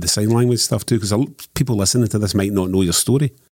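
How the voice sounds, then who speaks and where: Over a silent background in a very clean recording, a man talks very fast in a fairly low pitch with a dark, mellow tone and ordinary pitch variation. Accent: Scottish. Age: 50s. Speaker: journalist. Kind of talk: casual chat.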